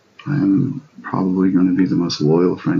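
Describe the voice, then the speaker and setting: A man speaks over noticeable background noise. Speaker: live streamer. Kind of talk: casual livestream chat. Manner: loud; energetic.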